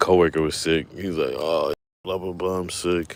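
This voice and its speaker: A man with a very deep, low voice. He speaks at a fairly slow pace with fairly even intonation. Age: 40s. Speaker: fishing streamer. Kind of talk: casual live stream chat. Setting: outdoors fishing. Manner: casual, halting with fillers.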